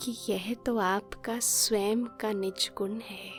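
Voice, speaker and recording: A woman's calm, medium-pitched voice with ordinary pitch variation, over music in the background. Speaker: meditation guide. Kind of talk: guided meditation commentary. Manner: slow, calm.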